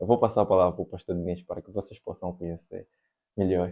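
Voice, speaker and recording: A man speaks with a very deep, low pitch and a dark, mellow tone. The background is quiet. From Angola. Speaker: podcast host. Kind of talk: casual chat.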